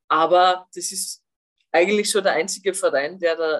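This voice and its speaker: A woman's normal speaking voice, fairly low in pitch, at a moderate pace. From Austria. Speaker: former national football player and TV pundit. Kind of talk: podcast interview.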